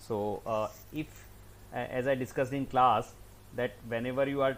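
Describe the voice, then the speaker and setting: In an Indian accent, a man speaks at a moderate pace and medium pitch with a monotone, flat intonation. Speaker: teacher. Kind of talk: lecture. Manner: halting; loud.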